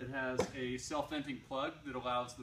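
Male voice, moderately paced, some light noise behind it and a noticeable echo from the room. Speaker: shop staff reviewing a product. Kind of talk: product review. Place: shop. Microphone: camera far.

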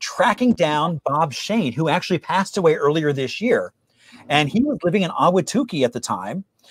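Over a quiet background, a man with a high pitch and an enthusiastic, upbeat tone talks at a moderate pace, swinging very widely in pitch, in a dry sound with no echo. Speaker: host of a history trivia show; local historian. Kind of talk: presentation talk to an online audience. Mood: enthusiastic, friendly. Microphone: video call.

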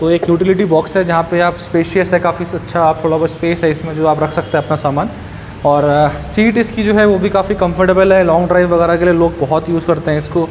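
A man speaks at a fairly quick pace in a high voice, his intonation fairly even and his loudness very even. Light background noise sits behind him. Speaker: showroom bike reviewer. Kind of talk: product walkaround commentary. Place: shop. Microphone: phone near.

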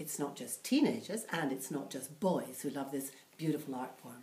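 The voice has lively intonation, with audible room echo around it. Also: woman. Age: 60s. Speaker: comic-book review podcaster. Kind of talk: casual talk to camera. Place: home room. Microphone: webcam.

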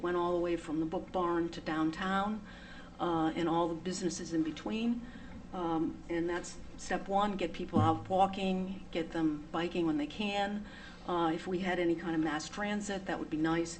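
With an American accent, a woman speaks at a moderate pace and fairly low pitch, her intonation fairly even, amid noticeable background noise and audible room echo. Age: 70s. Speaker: resident speaking at town meeting. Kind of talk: public comment at town meeting. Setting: town board meeting. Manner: halting, many fillers.

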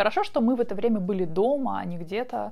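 Here a woman speaks at a moderate pace. Her tone is calm and relaxed. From Siberia, Russia. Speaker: vlogger. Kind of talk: diary reading commentary. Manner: calm, relaxed. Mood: calm, reflective storytelling. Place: home room. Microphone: lapel.

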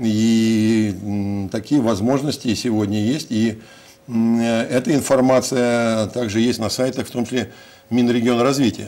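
Speaking at a very slow pace, a man holds a medium pitch and a dark, mellow tone. His loudness stays very even, and his intonation is fairly even. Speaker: city mayor. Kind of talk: interview. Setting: studio. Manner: halting. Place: studio.

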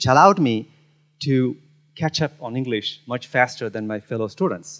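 A man's voice with ordinary pitch variation against a quiet background. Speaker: keynote speaker. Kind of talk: conference talk. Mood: personal storytelling, engaged. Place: hall. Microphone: handheld.

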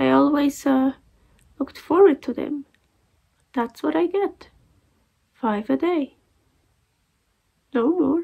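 Against a quiet background, a woman speaks in a high pitch at a very slow pace. Her pitch varies in an ordinary way, and she takes long, frequent pauses. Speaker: vlogger. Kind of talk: casual vlog chat. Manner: weak, muffled post-surgery voice. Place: home room. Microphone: phone near.

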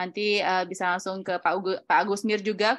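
Against a quiet background, a woman is speaking. Her pace is fairly quick. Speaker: event moderator. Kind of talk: online webinar moderation. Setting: video call. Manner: animated. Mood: friendly, upbeat. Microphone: webcam.

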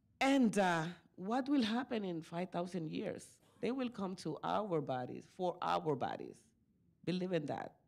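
Her pitch swinging very widely, a woman with a Spanish accent talks at a fairly slow pace with vocal fry. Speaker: community activist; panelist. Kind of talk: conference panel talk. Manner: halting. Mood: earnest, spiritual reflection. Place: meeting room. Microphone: podium.

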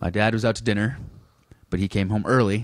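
A man with an American accent talks in a fairly low voice, the sound dry with no echo over a quiet background. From Boston. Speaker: stand-up comedian. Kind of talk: casual chat. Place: home room.

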